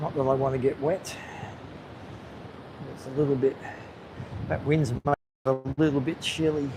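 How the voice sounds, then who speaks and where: A man's fairly high voice in an Australian accent, monotone and flat, with long, frequent pauses. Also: moderate pace. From Australia, Gold Coast area. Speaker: live-streaming vlogger. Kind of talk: live-stream vlog, casual commentary. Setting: outdoors on a beach. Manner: casual, hesitant with fillers.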